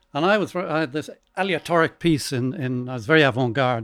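A fairly high-pitched man's voice with an Irish accent and lively intonation. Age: 70s. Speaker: composer. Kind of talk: casual chat. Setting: stage with audience. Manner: halting.

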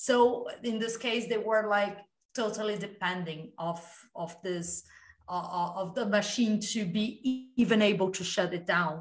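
A somewhat breathy voice at a fairly slow pace with ordinary pitch variation. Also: woman, medium pitch for a woman. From Brazil. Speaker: podcast host. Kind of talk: interview.

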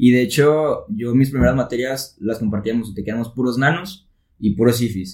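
Speaking at a moderate pace, a man uses a plain, everyday voice at a medium pitch, with ordinary pitch variation. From Mexico, Tepic, Nayarit. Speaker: engineering student. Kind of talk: casual chat.

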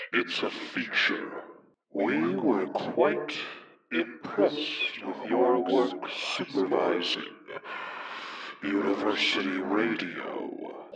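Speaking at a very slow pace, a man keeps his pitch fairly low. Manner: smooth, sinister.

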